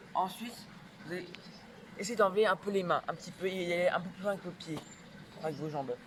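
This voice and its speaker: Amid noticeable background noise, a man with a high pitch talks at a fairly quick pace with ordinary pitch variation and long, frequent pauses. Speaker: parkour youtuber. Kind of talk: tutorial. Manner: fast.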